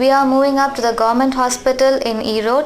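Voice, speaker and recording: A woman speaks at a fairly quick pace in a high pitch. Noticeable background noise and audible room echo surround her voice. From India, Tamil Nadu. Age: 20s. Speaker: nurse. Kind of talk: interview. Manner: halting, with fillers.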